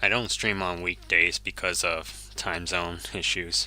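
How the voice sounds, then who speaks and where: A man speaks at a very slow pace in a Japanese accent, his pitch very deep and low. His tone is bright and sharp, with fairly even intonation. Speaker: video game streamer. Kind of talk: gameplay live stream commentary. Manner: casual, thinking aloud.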